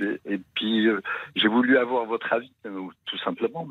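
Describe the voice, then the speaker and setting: The pitch is medium. It belongs to a man who is talking. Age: 70s. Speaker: caller. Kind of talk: testimony. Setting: phone call. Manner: halting.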